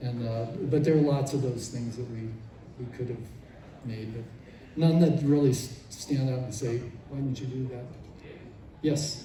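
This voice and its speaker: Moderate pace with long, frequent pauses, big swings in loudness, and audible room echo. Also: man, medium pitch for a man, fairly even intonation. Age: 70s. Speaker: former toy designer. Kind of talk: convention panel Q&A. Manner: halting.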